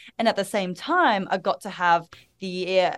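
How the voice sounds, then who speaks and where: A woman speaks with an Australian accent at a medium pitch. Her pitch varies in an ordinary way, and her pace is fairly slow. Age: 20s. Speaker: women's empowerment mentor and speaker. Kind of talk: podcast interview. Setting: video call.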